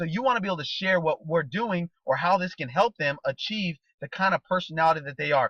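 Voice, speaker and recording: Very fast and animated, this man has a high pitch with ordinary variation and a bright, sharp tone. The sound is dry and close, with no echo. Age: 30s. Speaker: network marketing trainer. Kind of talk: motivational training talk.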